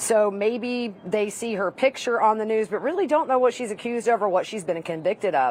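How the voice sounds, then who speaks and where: Over noticeable background noise, a woman with a Southern US accent talks at a fairly quick pace with hardly any pauses, her fairly high voice full of lively intonation. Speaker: trial reporter. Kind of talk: live panel discussion.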